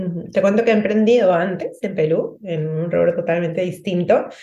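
Fairly low-pitched woman's voice with a dark, mellow tone, fairly even intonation and a moderate pace, plus audible room echo. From Peru. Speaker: emotional support coach. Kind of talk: interview conversation.

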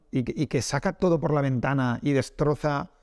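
A Castilian accent at a moderate pace with ordinary pitch variation, in a very clean recording with a silent background. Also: man. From Spain, Castile. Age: 40s. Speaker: esports business executive. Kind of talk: casual interview. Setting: office, in person.

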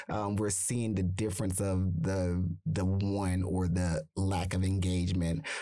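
A man with a very deep, low voice and a dark, mellow tone speaks at a fairly slow pace with hardly any pauses. His intonation is fairly even, his loudness very even, and room echo is audible. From Arkansas. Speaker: nonprofit executive, activist. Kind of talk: interview conversation. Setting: studio. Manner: halting, many fillers.

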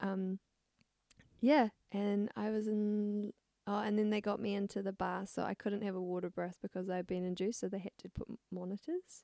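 A woman's medium-pitched, flat, monotone voice at a moderate pace with a southern New Zealand accent. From New Zealand, rural Clutha Valley, Otago. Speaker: young mother. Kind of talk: casual chat. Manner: hesitant, many fillers and laughs.

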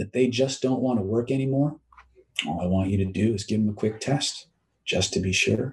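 Somewhat breathy and calm, gentle in tone, the voice moves at a fairly quick pace with ordinary pitch variation. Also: man. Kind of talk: guided hypnosis induction. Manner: calm, gentle and reassuring.

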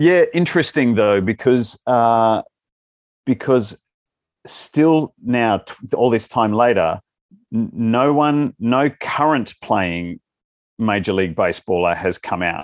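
A man speaks at a very slow pace with lively intonation, a medium pitch, and long, frequent pauses, recorded with a dry, close sound with no echo against a quiet background. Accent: Australian. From Western Australia (Albany). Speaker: stage actor. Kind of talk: casual chat. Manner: halting.

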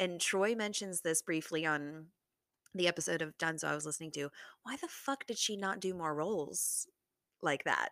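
Her fairly low voice bright and sharp, a woman talks in an animated way at a moderate pace, with long, frequent pauses and a dry, close sound free of echo. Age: 20s. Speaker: solo podcast host. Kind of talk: casual monologue.

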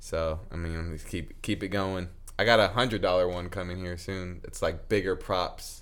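A man's very deep, low voice with an American accent, fairly even intonation, and a moderate pace. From US Midwest, Lincoln, Nebraska. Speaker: podcast guest. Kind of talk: casual chat.

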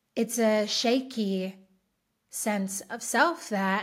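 Recorded very cleanly against a silent background, a woman with an Australian accent speaks in a fairly high, somewhat breathy voice with fairly even intonation. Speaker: podcast host and empowerment coach. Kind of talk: solo podcast monologue.

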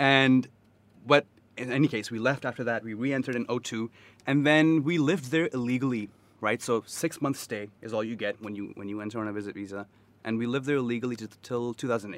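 In a very clean recording with a silent background, a man with an American accent talks very fast at a medium pitch with ordinary variation. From US South. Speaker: podcast guest. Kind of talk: casual chat. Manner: animated.

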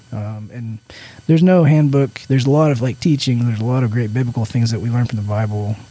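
A soft-spoken man's medium-pitched voice with a dark, mellow tone, ordinary pitch variation and a very fast pace. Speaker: church staff member. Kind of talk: casual chat.

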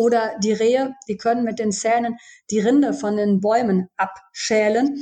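A woman with a dark, mellow tone speaks at a fairly high pitch, going at a fairly slow pace with fairly even intonation. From Germany, Düsseldorf. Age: 40s. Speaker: pharmacist, former hunter. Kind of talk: podcast interview.

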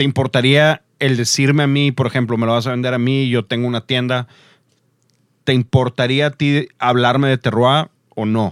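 Monotone, flat male speech at a medium pitch and a moderate pace. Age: 30s. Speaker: podcast host. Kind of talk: casual chat. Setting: studio.

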